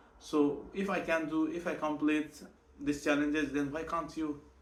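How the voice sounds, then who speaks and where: A man with a Nepali accent, flat monotone intonation and a moderate pace. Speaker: vlogger, night shift worker. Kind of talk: personal vlog monologue. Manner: halting, many repetitions and self-corrections.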